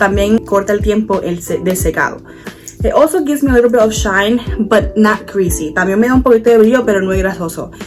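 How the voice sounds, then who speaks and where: Very fast speech from a woman with ordinary pitch variation, music in the background. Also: medium pitch for a woman. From Puerto Rico. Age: 20s. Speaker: beauty content creator. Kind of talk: casual talk to camera, bilingual hair tutorial.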